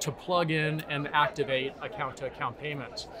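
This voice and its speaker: Noticeable background noise behind a man's fairly high voice with an American accent, moderate in pace and fairly even in intonation. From United States. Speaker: tech company CEO. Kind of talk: interview.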